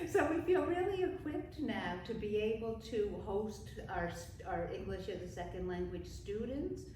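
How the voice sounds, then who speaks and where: In a northern US accent, a woman speaks at a moderate pace with hardly any pauses, with audible room echo and noticeable background noise. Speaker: pastor. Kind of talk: casual interview. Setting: church, on camera.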